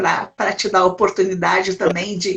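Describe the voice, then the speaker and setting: A woman's voice at medium pitch. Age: 60s. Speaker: elder rights council president. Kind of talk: interview in a live stream. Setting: video call. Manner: halting, many repetitions.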